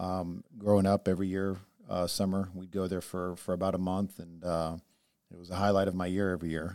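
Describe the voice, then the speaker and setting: A man's very deep, low voice holds a monotone, flat intonation while swinging widely in loudness, on a very clean recording with a silent background. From born in Israel, raised in the US from age seven. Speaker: podcast co-host. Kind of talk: casual discussion.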